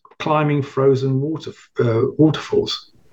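Somewhat breathy, a man with a British accent talks at a moderate pace. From England. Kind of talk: interview.

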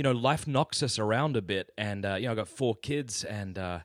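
The voice has an Australian accent and ordinary pitch variation. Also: man, very clean recording, silent background. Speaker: podcast guest. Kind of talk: interview.

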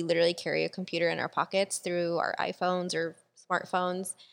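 A woman speaks with an unremarkable speaking voice at a fairly quick pace, her pitch fairly low. The recording is very clean, with a silent background. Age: 20s. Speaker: podcast host. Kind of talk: casual chat.

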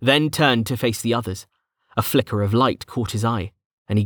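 Over a quiet background, someone reads in a natural reading voice.

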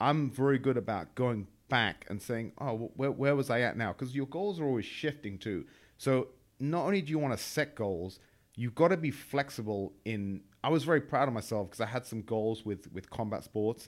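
A man with an English accent speaks at a moderate pace in a medium pitch with lively intonation. The recording is very clean, with a silent background. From England. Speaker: entrepreneur, former trader. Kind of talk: casual chat.

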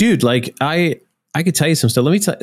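A man with a North Welsh accent speaks with lively intonation. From North Wales, Anglesey. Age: 30s. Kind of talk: casual interview chat. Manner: animated.

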